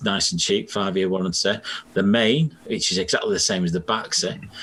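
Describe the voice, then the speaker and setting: With a normal speaking voice, a man talks at a moderate pace in a fairly low pitch, keeping his loudness very even and his pitch variation ordinary. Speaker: heating engineer. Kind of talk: casual podcast conversation.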